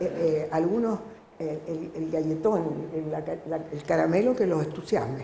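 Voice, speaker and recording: Over noticeable background noise and audible room echo, a woman speaks in a fairly low pitch with ordinary pitch variation. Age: 70s. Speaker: audience member, teacher. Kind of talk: audience question at public debate. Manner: halting, with false starts.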